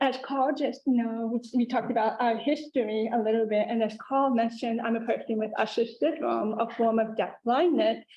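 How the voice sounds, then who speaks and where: A woman speaks at a moderate pace with a slight Southern US accent. Her fairly high voice keeps a fairly even intonation. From Louisiana. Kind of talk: panel talk.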